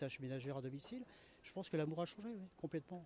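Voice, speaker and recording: Dry and close with no echo, a man's voice comes across dark, mellow and somewhat breathy. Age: 60s. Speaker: interviewee on the street. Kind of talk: street interview. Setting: outdoors on a terrace. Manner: hesitant, many fillers.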